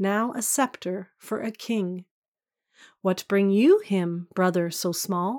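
A woman speaks very slowly at a medium pitch with ordinary pitch variation and a gentle tone, in a dry, close sound with no echo on a very clean recording with a silent background. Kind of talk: poem performed, reading aloud a Christmas carol. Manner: gentle, measured and lyrical, with a hushed, tender storytelling cadence.

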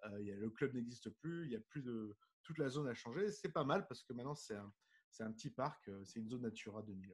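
The sound is dry and close with no echo. A man talks at a very fast pace with lively intonation. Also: medium pitch for a man. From southern France (Nice). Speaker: diving magazine publisher and underwater photographer. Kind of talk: casual interview.

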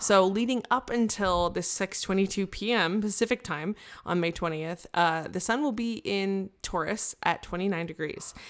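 In a very clean recording with a silent background, a woman speaks at medium pitch in an animated tone with ordinary pitch variation and hardly any pauses. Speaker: astrologer. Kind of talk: casual chat. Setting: studio. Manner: fast.

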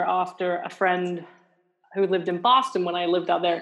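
This woman has a medium-pitched voice. She speaks with a British accent. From England. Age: 40s. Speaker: museum science manager and author. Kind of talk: interview. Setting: remote from home.

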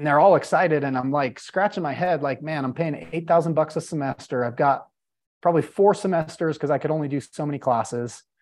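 A man talks at a fairly quick pace with ordinary pitch variation, his pitch fairly high. It is an unremarkable speaking voice, set against a quiet background. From Utah, Salt Lake City. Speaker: real estate investor. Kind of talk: casual interview.

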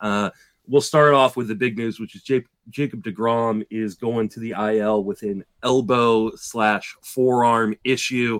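Speaking fairly slowly in an ordinary speaking voice, a man keeps a medium pitch and fairly even intonation, recorded very cleanly against a silent background with a dry, close sound and no echo. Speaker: fantasy baseball podcast host. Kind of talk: casual chat.

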